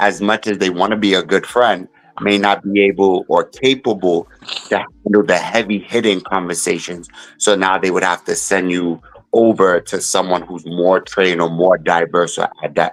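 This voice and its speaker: Here a man speaks at a moderate pace. His pitch is fairly low and his intonation fairly even. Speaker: podcast panelist. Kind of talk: casual chat. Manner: loud.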